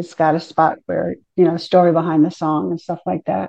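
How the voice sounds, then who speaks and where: In an American accent, a woman speaks at a fairly low pitch with vocal fry and a dark, mellow tone. The sound is dry and close with no echo. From New Jersey. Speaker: songwriter. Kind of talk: interview.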